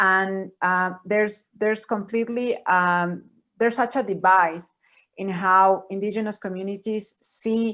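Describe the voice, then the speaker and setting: A woman speaks in a Spanish accent at a medium pitch, her tone bright and sharp. Her delivery is fairly slow, monotone and flat. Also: quiet background. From Ecuador. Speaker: panelist. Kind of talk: panel discussion. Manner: halting, many fillers and repetitions.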